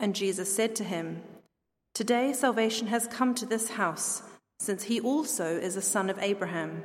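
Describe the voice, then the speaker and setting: At a fairly slow pace, a woman with an ordinary speaking voice talks with ordinary pitch variation. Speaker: scripture reader. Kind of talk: reading aloud. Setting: church.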